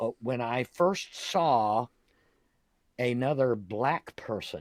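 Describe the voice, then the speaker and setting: A man's medium-pitched voice with a Southern US accent and lively intonation, on a very clean recording with a silent background. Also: dry, close sound with no echo. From US South, Jacksonville, Florida. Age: 60s. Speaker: podcast host. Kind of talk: casual interview chat. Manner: hesitant, many fillers.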